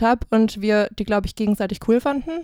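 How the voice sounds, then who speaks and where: Fairly quick, fairly high-pitched woman with an ordinary speaking voice and ordinary pitch variation on a very clean recording with a silent background. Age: 20s. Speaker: student and podcaster. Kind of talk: casual chat.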